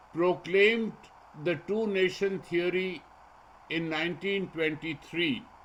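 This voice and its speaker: A man with a high pitch and ordinary pitch variation speaks at a fairly slow pace, leaving long, frequent pauses. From northern India (born Lahore, raised Delhi). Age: 80s+. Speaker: physicist and public intellectual. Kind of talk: lecture. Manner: formal.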